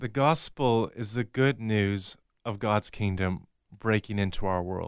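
A man talks at a fairly slow pace, with a fairly low pitch and ordinary pitch variation. The recording is very clean, with a silent background. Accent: American. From US Pacific Northwest (Washington state). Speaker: pastor. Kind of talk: interview.

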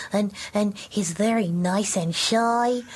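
The voice is a put-on character voice. Background noise is clearly audible. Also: woman, medium pitch for a woman. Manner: shy and nice.

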